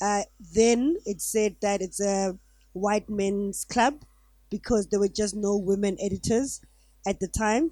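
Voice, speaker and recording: At a fairly slow pace, a woman with a medium pitch and a dark, mellow tone speaks with ordinary pitch variation on a very clean recording with a silent background. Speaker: journalist and newspaper editor, panelist. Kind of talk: panel discussion. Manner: loud.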